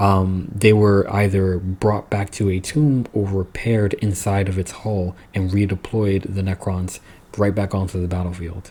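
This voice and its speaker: This man's voice is somewhat breathy, with fairly even intonation. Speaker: lore video creator. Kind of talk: lore explainer monologue. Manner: casual with fillers and restarts.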